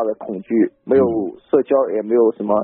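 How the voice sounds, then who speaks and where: Here a man talks at a fairly quick pace and a medium pitch. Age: 20s. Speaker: caller. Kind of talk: call-in counseling. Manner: halting.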